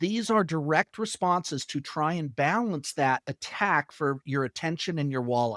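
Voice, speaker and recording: Fairly high in pitch, a man talks at a moderate pace in a plain, everyday voice with lively intonation. The recording is very clean with a silent background and a dry, close sound with no echo. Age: 60s. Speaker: sales trainer. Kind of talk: interview.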